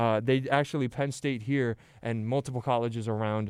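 Moderate pace, medium pitch and fairly even intonation from a man, on a very clean recording with a silent background. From central New Jersey. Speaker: college radio host. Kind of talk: sports debate monologue. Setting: radio studio. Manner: repeats words, halting.

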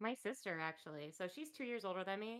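Her pitch sits in the medium range, but this woman's voice makes very wide pitch swings. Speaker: co-host. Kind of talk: casual chat.

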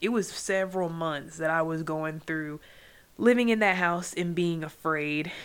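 On a very clean recording with a silent background, a woman with an American accent uses a normal speaking voice at a fairly low pitch with ordinary pitch variation. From US, military family. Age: 20s. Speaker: podcast host. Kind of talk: solo podcast monologue. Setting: home recording, late night. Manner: casual, conversational.

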